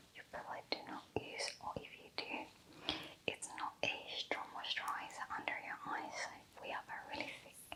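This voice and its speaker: Whispered words come at a moderate pace with noticeable background noise behind them. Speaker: spa facial therapist roleplay. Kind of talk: ASMR spa roleplay. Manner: whispered, soft-spoken.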